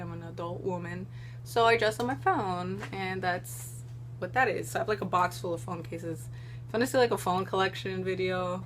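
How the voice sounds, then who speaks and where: A woman with an American accent speaks at a fairly quick pace. Noticeable background noise and audible room echo are present. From Florida, US. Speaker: YouTuber. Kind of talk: casual Q&A vlog. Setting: at home. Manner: animated.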